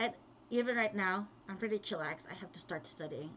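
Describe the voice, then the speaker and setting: Her accent is Filipino, and her pitch is medium for a woman. She speaks at a fairly quick pace with lively intonation. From Philippines, Kapampangan-speaking region. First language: Kapampangan. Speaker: vlogger, pharmacist. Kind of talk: casual livestream talk.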